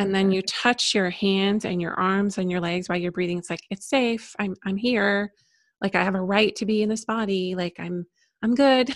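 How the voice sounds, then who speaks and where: At a moderate pace, a woman with a normal speaking voice talks at a medium pitch with fairly even intonation, in a very clean recording with a silent background and a dry, close sound with no echo. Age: 50s. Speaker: spiritual psychologist and women's coach. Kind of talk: casual interview chat.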